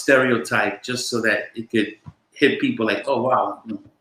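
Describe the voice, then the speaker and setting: A man is speaking. He has an American accent. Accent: New York with a splash of Boston. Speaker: former police officer turned actor and drug counselor. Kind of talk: interview.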